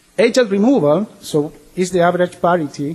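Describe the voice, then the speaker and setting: A man's high-pitched voice with lively intonation over noticeable background noise. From Chile. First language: Spanish. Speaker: swine technical services specialist. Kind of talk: conference presentation.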